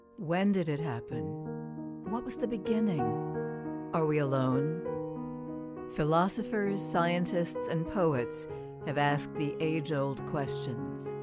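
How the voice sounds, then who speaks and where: Music plays behind a woman speaking at a very slow pace. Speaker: veteran voice actor and radio announcer. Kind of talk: poetry reading with narration over music.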